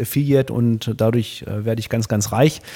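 Monotone and flat, a man's voice sits at medium pitch with a dark, mellow tone. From Germany, Hildesheim (Lower Saxony). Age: 40s. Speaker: company founder. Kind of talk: interview. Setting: studio. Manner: hesitant, many fillers.

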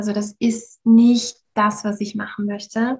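A woman speaks at a very slow pace in a fairly high, somewhat breathy voice. Her intonation is monotone and flat. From Austria, Vienna. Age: 30s. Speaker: happiness coach. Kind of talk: podcast interview.

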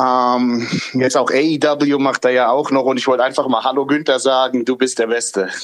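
At a moderate pace, the speech stays monotone and flat with very even loudness, heard over noticeable background noise. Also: man, medium pitch for a man. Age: 40s. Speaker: listener calling in. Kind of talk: casual chat. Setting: online audio call.

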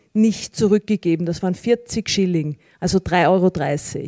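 A woman's dark, mellow tone comes through a dry, close sound with no echo as she speaks at a fairly slow pace with ordinary pitch variation. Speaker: member of parliament. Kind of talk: panel discussion. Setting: stage with audience.

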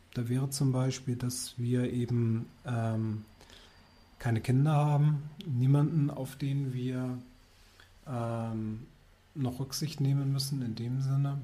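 A man speaks at a very slow pace and medium pitch, with a dark, mellow tone, somewhat breathy delivery and fairly even intonation. Long, frequent pauses break up his speech, and audible room echo surrounds it. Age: 40s. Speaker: wine bar founder, former insurance employee. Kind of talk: interview.

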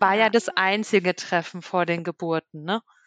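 A woman talks in an ordinary speaking voice. Her pitch is medium and her intonation fairly even. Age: 30s. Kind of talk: casual chat.

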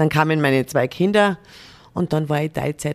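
The sound is dry and close, with no echo. A woman speaks at a moderate pace with a very deep, low pitch. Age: 40s. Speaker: corporate diversity manager. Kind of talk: interview.

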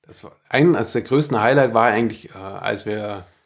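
A man with a medium pitch and typical pitch movement speaks at a moderate pace, captured on a very clean recording with a silent background. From Allgäu, Bavaria. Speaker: master carpenter, former soldier. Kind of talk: casual interview. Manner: hesitant, many fillers.

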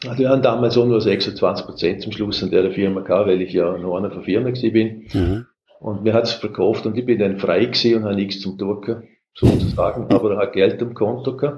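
Speaking with a Vorarlberg accent, a man talks at a fairly quick pace and a fairly low pitch, somewhat breathy and with fairly even intonation. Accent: Vorarlberg dialect, sounds foreign to Swiss. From Austria, Vorarlberg. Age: 60s. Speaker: software company founder and CEO. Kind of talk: interview.

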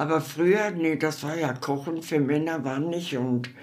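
A woman speaks very slowly with ordinary pitch variation. There's audible room echo and noticeable background noise. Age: 80s+. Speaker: elderly interviewee. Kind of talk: interview. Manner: halting.

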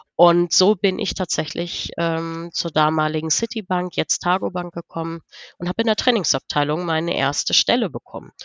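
A woman speaks at a moderate pace in an ordinary speaking voice. Her pitch is fairly low, with ordinary variation. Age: 40s. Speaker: business coach. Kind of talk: interview.

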